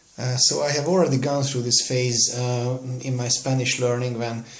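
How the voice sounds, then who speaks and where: Against noticeable background noise and audible room echo, a man with a Hungarian accent speaks at a moderate pace in a medium pitch with fairly even intonation. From Hungary. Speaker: language learner vlogger. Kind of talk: casual screen-recorded tutorial. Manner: halting, many fillers.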